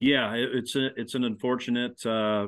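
A man with a Midwestern American accent, fairly even intonation and a moderate pace. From Nebraska, Lincoln. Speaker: former college sports media relations official, co-host. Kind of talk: casual sports podcast chat.

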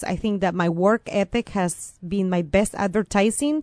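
In a Venezuelan accent, a woman speaks at a moderate pace with an energetic tone. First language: Spanish. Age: 30s. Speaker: court interpreter. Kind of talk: interview.

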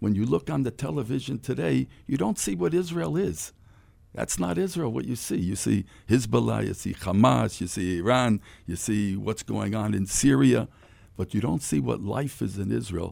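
A man with an American accent talks at a moderate pace in a fairly low voice, with very wide pitch swings and vocal fry. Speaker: former basketball player. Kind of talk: radio interview. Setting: studio.

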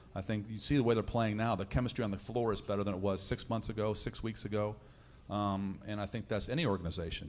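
A man with an American accent and a fairly low pitch speaks at a very fast pace with fairly even intonation. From central Illinois (Danville). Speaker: college golf coach. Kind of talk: casual chat. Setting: live broadcast from a lounge with audience.

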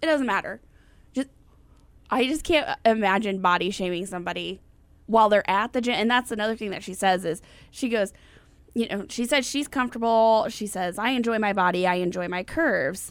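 At a fairly quick pace, a woman speaks with a fairly high pitch and lively intonation in a normal speaking voice. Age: 30s. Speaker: podcast co-host. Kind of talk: casual chat.

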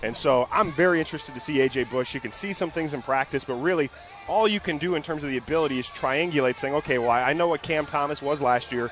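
A man with fairly high pitch and ordinary pitch variation at a very fast pace, amid noticeable background noise. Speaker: sports analyst. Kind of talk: radio sports talk.

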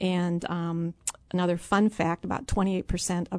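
The woman has a normal speaking voice at a fairly low pitch. She keeps a moderate pace and fairly even intonation, recorded dry and close with no echo. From US Midwest, rural Illinois. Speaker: city mayor. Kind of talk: radio interview.

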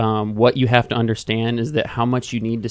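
Here is a plain, everyday voice from a man at a medium pitch. He keeps a fairly even intonation and a fairly quick pace. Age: 20s. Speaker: financial planner. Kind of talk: radio financial discussion.

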